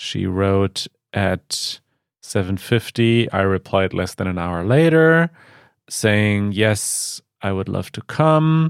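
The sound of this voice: A man with a clear, smooth tone, fairly low pitch, vocal fry and ordinary pitch variation is heard in a very clean recording with a silent background.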